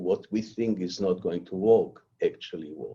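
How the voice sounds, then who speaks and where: Talking at a fairly quick pace, a man speaks with a non-native accent. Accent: foreign. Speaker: cancer research scientist giving a lecture. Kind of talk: lecture. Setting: online lecture.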